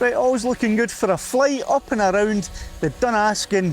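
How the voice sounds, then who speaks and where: With music playing behind him, a man with a Scottish accent talks in a high pitch with lively intonation. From Scotland. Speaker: drone pilot. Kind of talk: casual commentary while flying a drone. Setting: outdoors.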